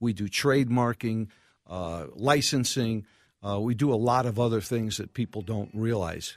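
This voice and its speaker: A man with an American accent speaks in a plain, everyday voice at a moderate pace, with medium pitch and ordinary pitch variation, on a very clean recording with a silent background. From New York City. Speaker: restaurateur. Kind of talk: casual interview.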